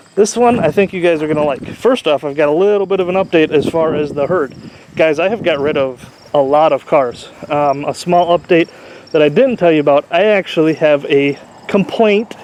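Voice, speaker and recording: A man with a fairly high pitch and ordinary pitch variation talks fairly quickly amid noticeable background noise. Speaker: car YouTuber, derby car builder. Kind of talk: casual vlog walkthrough. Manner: fast; casual, filler-heavy.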